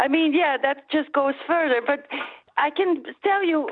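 Speaking with a Flemish accent, a woman uses a high pitch with ordinary variation at a fairly slow pace. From Belgium (Flanders). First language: Dutch. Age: 40s. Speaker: caller, former stage actress. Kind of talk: radio phone-in call. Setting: phone call. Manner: halting.

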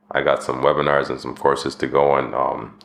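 The speaker has a Canadian accent. Noticeable background noise can be heard. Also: man. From Canada (Winnipeg and Medicine Hat). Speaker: podcast host. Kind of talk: solo monologue podcast.

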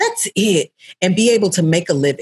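Her fairly low, somewhat breathy voice swings very widely in pitch as the woman speaks at a moderate pace, with a dry, close sound and no echo. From Tennessee, Murfreesboro. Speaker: actor. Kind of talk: interview.

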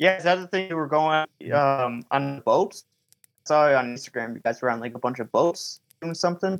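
A man with an American accent and an unremarkable speaking voice talks at a fairly quick pace, fairly high in pitch with ordinary variation, in a dry, close sound with no echo. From Michigan. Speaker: paranormal filmmaker and podcaster. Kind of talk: casual chat.

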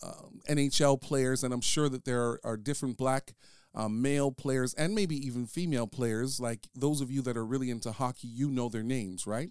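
Recorded very cleanly with a silent background and a dry, close sound with no echo, a man speaks at a moderate pace in a medium pitch. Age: 40s. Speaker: podcast host on leadership. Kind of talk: solo monologue podcast. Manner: casual with many filler words.

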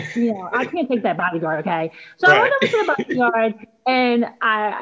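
In an American accent, a woman speaks at a fairly quick pace with very wide pitch swings. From Philadelphia. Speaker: singer-songwriter and actress. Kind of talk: casual interview.

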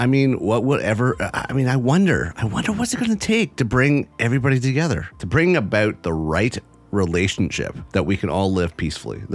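A man's medium-pitched voice with very wide pitch swings at a fairly quick pace, over noticeable background noise. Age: 50s. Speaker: podcast host. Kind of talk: solo commentary.

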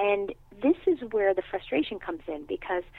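A woman with a New York accent and very wide pitch swings. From New York City. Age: 50s. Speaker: acupuncture physician. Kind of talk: interview.

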